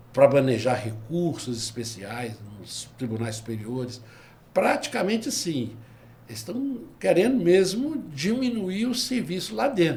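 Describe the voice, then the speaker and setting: A man's fairly high voice at a fairly slow pace, with very wide pitch swings, big swings in loudness, and audible room echo. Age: 70s. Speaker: retired labor judge and lawyer. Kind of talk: podcast interview.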